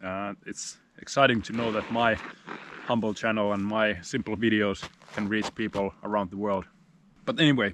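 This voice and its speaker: A man's fairly low voice at a fairly quick pace, with a dry sound with no echo and light background noise. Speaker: outdoor vlogger. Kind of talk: casual vlog chat. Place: forest.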